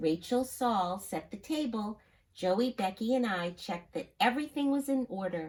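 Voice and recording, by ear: Lively intonation in a natural reading-aloud voice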